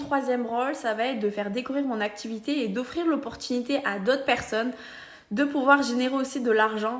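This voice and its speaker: A woman speaks in a Roussillon accent. Her pace is fairly quick and her intonation fairly even. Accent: southern French (Perpignan). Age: 20s. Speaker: social media seller, beauty brand ambassador. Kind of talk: casual explainer vlog.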